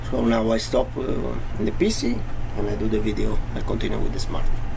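Noticeable background noise sits under the recording. Over it, a man speaks fairly quickly. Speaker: product reviewer. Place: home room. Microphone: webcam.

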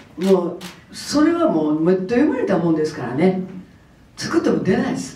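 Over audible room echo, a woman with a medium pitch speaks with very wide pitch swings. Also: moderate pace. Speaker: comedian. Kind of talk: press conference interview answer. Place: hall.

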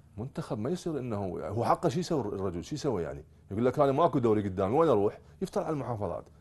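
With an Iraqi accent, a man talks very fast in a dark, mellow tone, his pitch swinging very widely. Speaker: youth football coach. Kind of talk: TV sports talk show interview. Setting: studio. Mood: critical, mildly frustrated. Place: studio.

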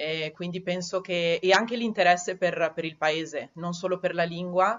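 A woman speaks in a Trentino accent at a fairly low pitch. Her intonation is fairly even. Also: moderate pace. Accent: Trentino Italian. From Trentino, Italy. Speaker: Italian teacher. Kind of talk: interview answer. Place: home room. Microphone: headset.

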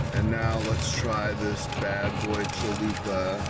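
There is music in the background as a man speaks. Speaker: food reviewer. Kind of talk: casual vlog chat. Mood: happy, relaxed. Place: car. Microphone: phone near.

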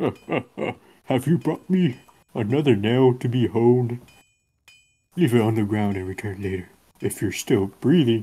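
Man's voice at a medium pitch, lively intonation, a moderate pace and long, frequent pauses. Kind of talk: amateur game-text reading.

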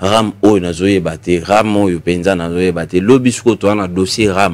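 This voice moves at a very slow pace with ordinary pitch variation. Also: man. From DR Congo. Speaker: tv talk show host; TV show host. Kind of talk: political interview; talk-show host commentary. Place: studio. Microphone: studio mic.

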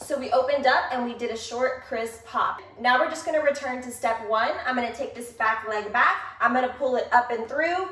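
In an American accent, a woman with a high pitch speaks at a fairly quick pace with hardly any pauses and ordinary pitch variation, with audible room echo. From Texas. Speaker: dance instructor. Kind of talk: tutorial. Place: home room. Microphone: camera far.

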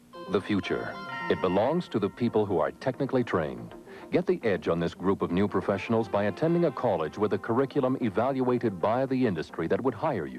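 A man talks at a very fast pace. The sound is dry with no echo, and clear music plays in the background. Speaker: commercial announcer. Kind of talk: advertising voice-over. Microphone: old recording.

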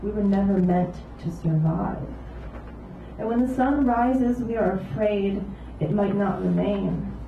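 There is audible room echo and light background noise. A woman speaks at a fairly slow pace. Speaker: poet. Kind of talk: reading poems aloud. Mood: calm, solemn. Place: cafe.

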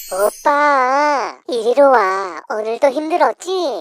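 Doing a put-on character voice, a woman speaks at a very slow pace in a high pitch. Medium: audio drama.

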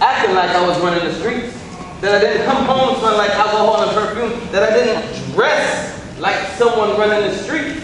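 Strong room echo and noticeable background noise surround the recording. A man speaks at a fairly quick pace with ordinary pitch variation. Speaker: stage actor playing a husband. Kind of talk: dramatic stage monologue. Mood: earnest, pleading, defensive. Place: stage. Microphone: camera far.

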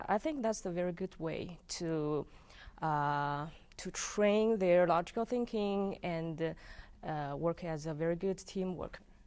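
Talking at a fairly slow pace with a Chinese accent, a woman has a fairly low pitch and ordinary pitch variation. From China. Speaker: visiting scholar, English teacher. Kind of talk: interview. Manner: hesitant, laughs often. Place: studio. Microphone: lapel.

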